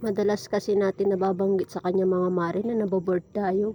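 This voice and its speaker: A woman at medium pitch, talking at a fairly quick pace. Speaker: vlogger. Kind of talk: casual vlog narration.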